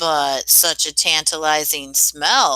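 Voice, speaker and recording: This woman puts on a raspy character voice pitched very deep and low. She talks at a very slow pace. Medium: read story. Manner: sly, crooning.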